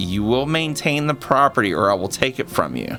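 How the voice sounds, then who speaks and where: Over clear music in the background, a man uses a put-on character voice at medium pitch and a moderate pace. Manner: creepy threatening.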